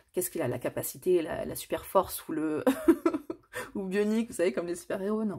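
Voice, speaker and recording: A woman talks at a fairly quick pace in a dark, mellow tone. The recording is very clean, with a silent background. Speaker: tarot card reader. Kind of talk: tarot reading.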